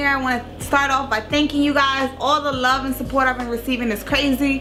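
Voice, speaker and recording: With music in the background, a raised, projected voice speaks in an American accent with monotone, flat intonation. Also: woman, high pitch for a woman. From Long Island, New York. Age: 20s. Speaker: tax professional. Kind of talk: casual educational talk to camera.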